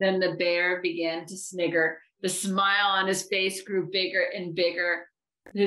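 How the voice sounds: Over a quiet background, the clip has a natural reading voice with fairly even intonation.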